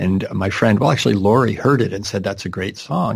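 A man with an American accent and vocal fry, ordinary pitch variation, on a very clean recording with a silent background. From Wisconsin, US Midwest. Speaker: folk musician.

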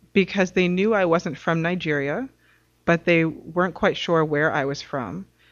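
A woman speaks in an ordinary speaking voice, fairly low in pitch. Her pace is fairly slow, with ordinary pitch variation. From New York City. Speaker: advocacy coordinator and author. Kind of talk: casual interview.

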